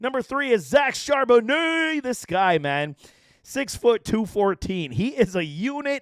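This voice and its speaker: At a fairly slow pace, a man talks in an extremely high pitch with very wide pitch swings and an animated tone. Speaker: fantasy football analyst. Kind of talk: sports analysis commentary.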